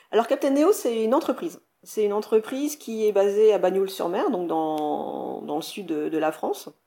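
Woman at a medium pitch with very wide pitch swings and a moderate pace. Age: 40s. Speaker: scuba diving instructor. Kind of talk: interview. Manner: energetic, enthusiastic; hesitant, repeats words.

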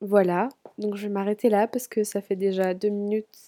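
A dark, mellow tone delivered in monotone, flat intonation, recorded with a dry, close sound and no echo. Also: woman. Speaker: podcast host. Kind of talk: personal monologue. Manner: stuttering, verbal tics; tongue clicks.

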